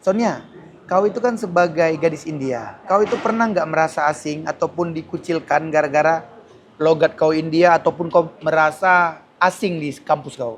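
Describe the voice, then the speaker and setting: A man speaks in an ordinary speaking voice at a moderate pace, fairly high in pitch, with ordinary pitch variation. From Aceh, Indonesia. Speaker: street interviewer. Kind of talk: casual interview.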